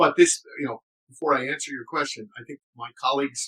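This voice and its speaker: A man with an American accent speaks in a bright, sharp tone with fairly even intonation, the sound dry and close with no echo. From New York City. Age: 60s. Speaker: former intelligence officer, advocacy group director. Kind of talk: interview. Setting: podcast recorded live.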